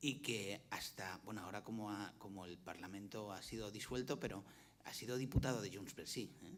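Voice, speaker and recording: Audible room echo surrounds a man speaking fairly quickly in a Valencian accent. His pitch is fairly low, with ordinary variation. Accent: Valencian accent in Catalan, keeps it. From Valencia, Spain. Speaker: former university rector, panelist. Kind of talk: panel discussion. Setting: conference with audience, streamed. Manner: halting, many repetitions and fillers.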